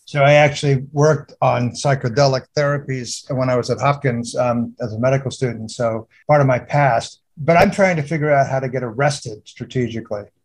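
Speaking at a fairly quick pace with hardly any pauses, a man uses a somewhat breathy voice at a medium pitch with fairly even intonation. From United Kingdom. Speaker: geriatric neurologist and author. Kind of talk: interview.

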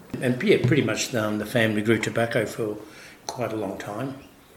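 A man with an Australian accent speaks with fairly even intonation, and the clip carries noticeable background noise and audible room echo. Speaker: winemaker. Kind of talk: interview. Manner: halting.

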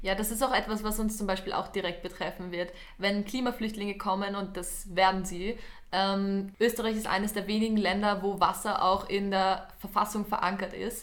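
Using monotone, flat intonation, a woman speaks at a moderate pace in a medium pitch. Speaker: youth climate podcast co-host, environmental volunteer. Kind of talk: casual podcast conversation.

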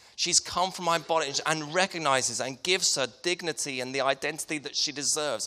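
Fairly high-pitched, a man with a southern English accent speaks at a moderate pace in a bright, sharp tone with lively intonation. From Hertfordshire, England. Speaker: preacher. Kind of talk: sermon. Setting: church.

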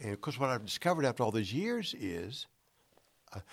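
A man's fairly quick speech with vocal fry and very wide pitch swings. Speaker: former football quarterback. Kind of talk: casual interview chat. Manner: halting, stuttering.

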